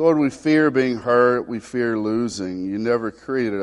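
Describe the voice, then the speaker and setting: A man talks at a fairly slow pace in a Southern US accent. His pitch varies in an ordinary way. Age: 40s. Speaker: pastor. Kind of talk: Baptist sermon with earnest spoken pastoral prayer. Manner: prayerful and pleading, repeated 'Lord' interjections, mild stumbles; folksy and conversational, drawling Southern asides.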